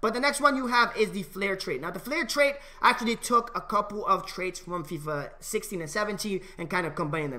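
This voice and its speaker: A man raises and projects his high-pitched voice, with very wide pitch swings and hardly any pauses. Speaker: gaming video creator. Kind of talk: tutorial; commentary. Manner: fast; casual, with many fillers. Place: home room. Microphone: headset.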